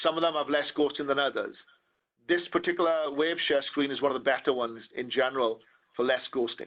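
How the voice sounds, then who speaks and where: Fairly high in pitch, a man speaks in a Welsh accent. He talks at a very fast pace with fairly even intonation. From Wales. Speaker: wireless security trainer. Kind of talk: technical presentation.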